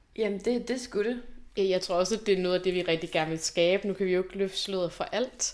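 A woman's medium-pitched voice, a plain, everyday voice, with ordinary pitch variation in a very clean recording with a silent background. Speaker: university graduate, student activist. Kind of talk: conversational interview.

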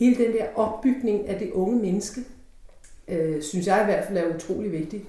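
A woman talks at a moderate pace and a medium pitch. Room echo is audible. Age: 50s. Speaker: opera singer. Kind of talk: interview.

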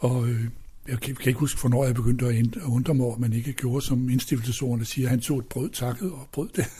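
Very fast and somewhat breathy, a man speaks at a medium pitch in a dark, mellow tone with fairly even intonation. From Denmark, Odsherred (northwest Zealand). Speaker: retired pastor and hymn writer. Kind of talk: casual interview. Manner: halting.

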